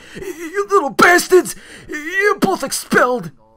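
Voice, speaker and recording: A put-on character voice in a Brooklyn accent uses an extremely high pitch and a fairly slow pace. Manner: stuttering, scolding.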